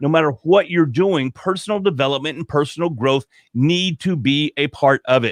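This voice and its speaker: Pitch varies in an ordinary way as the speech goes along at a moderate pace. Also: man, fairly high pitch for a man. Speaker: podcaster and corporate trainer. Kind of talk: interview chat. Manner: loud.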